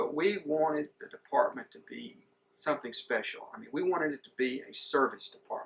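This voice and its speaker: Speaking at a fairly quick pace, a man shows big swings in loudness. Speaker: former city administrator. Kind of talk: interview answer.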